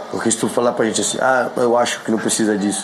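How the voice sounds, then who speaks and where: A man speaks at a very fast pace in a monotone, flat delivery with medium pitch. Noticeable background noise sits behind him. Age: 30s. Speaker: reality show contestant, former footballer. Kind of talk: interview. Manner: halting.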